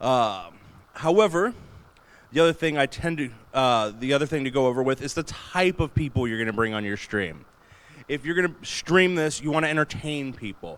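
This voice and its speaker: In a plain, everyday voice, a man speaks at a fairly quick pace with a fairly high pitch. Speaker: convention panelist, streamer. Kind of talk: convention panel talk. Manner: casual, conversational. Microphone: Blue Yeti mic, sometimes far away.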